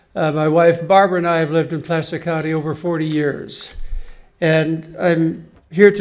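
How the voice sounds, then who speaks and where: A man's high voice at a moderate pace, fairly even in intonation, with audible room echo. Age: 80s+. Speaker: resident commenting at public meeting. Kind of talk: public comment at town hall.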